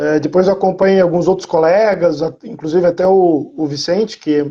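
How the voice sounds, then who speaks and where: Over a quiet background, a man speaks with a high pitch. His tone is dark and mellow, with ordinary pitch variation. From interior of São Paulo state, Brazil. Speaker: university professor. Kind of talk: interview.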